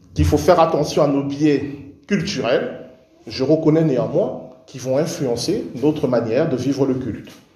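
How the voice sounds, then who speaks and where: Fairly slow speech from a man, with noticeable noise behind it. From Cameroon. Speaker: pastor. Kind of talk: sermon. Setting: church.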